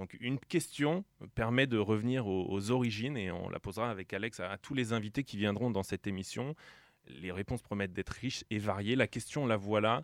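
In a very clean recording with a silent background and a dry, close sound with no echo, a man with a plain, everyday voice speaks at a fairly quick pace, with a fairly low pitch and ordinary pitch variation. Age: 30s. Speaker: radio host. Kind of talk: casual chat.

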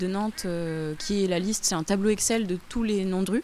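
This is a woman's voice with ordinary pitch variation. Background noise is noticeable. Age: 20s. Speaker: architect. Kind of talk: reportage interview.

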